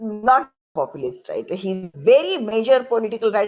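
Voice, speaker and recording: A woman at a fairly slow pace, with a Marathi accent. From rural Maharashtra, India. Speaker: professor. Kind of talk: panel talk.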